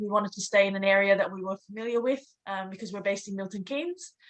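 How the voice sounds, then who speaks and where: A woman talks with an Australian accent at a medium pitch. Her pace is fairly quick. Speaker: property investor. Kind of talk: interview.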